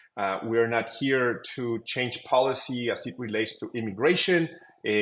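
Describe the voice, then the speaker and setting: A man with a Mexican accent talks with ordinary pitch variation. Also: medium pitch for a man, moderate pace. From Mexico. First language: Spanish. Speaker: tech company co-founder. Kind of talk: interview.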